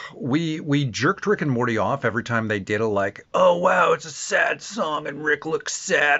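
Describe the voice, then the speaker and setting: Noticeable background noise sits behind a man with a Canadian accent speaking at a moderate pace. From Canada. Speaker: TV show reviewer. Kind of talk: casual video review. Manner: animated.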